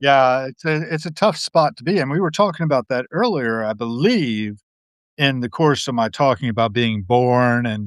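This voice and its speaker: A man with a normal speaking voice talks at a moderate pace, his pitch medium and his intonation lively. The sound is dry and close with no echo, over a quiet background. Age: 60s. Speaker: podcast host and guest. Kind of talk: casual chat. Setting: live video stream.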